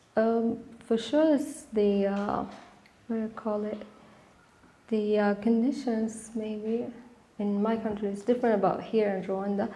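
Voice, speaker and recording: A woman at a fairly slow pace and fairly high pitch, with fairly even intonation, long, frequent pauses and audible room echo. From Sudan. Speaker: architecture student. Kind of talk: interview. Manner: halting.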